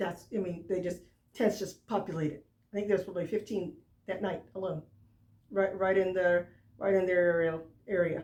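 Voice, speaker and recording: A woman speaks at a fairly quick pace with a medium pitch. Her speech has long, frequent pauses. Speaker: sports fan vlogger. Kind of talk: casual vlog commentary. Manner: loud; animated.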